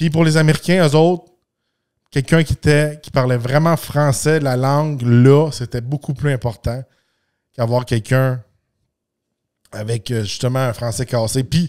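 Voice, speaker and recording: A man with a Quebec accent speaks at medium pitch with ordinary pitch variation and long, frequent pauses. The sound is dry and close, with no echo. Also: fairly slow pace. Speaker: podcast host. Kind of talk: casual podcast monologue. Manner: halting, many fillers and repetitions.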